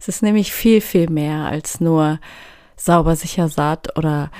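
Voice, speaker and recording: A woman speaks very slowly in a fairly low pitch with a dark, mellow tone. The recording is very clean, with a silent background. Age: 30s. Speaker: youth welfare educator and podcast host. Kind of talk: solo educational podcast.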